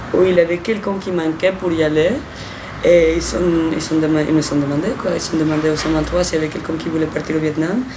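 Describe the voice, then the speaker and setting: A woman with a Spanish accent, very deep, low pitch, fairly even intonation and a very fast pace, amid noticeable background noise and audible room echo. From Mexico. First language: Spanish (speaking French). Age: 20s. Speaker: volunteer. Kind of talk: interview. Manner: hesitant, with restarts.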